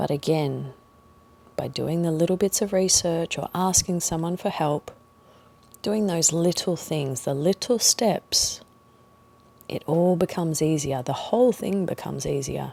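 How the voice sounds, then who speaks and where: A woman speaks in a calm tone with ordinary pitch variation. She leaves long, frequent pauses. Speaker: meditation guide. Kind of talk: guided meditation. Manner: calm, slow.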